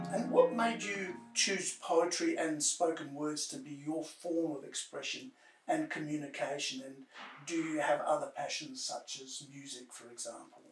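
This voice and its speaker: A man speaks in an ordinary speaking voice at fairly high pitch and a moderate pace. His intonation is lively, and his loudness swings widely. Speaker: interviewer. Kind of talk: interview questions.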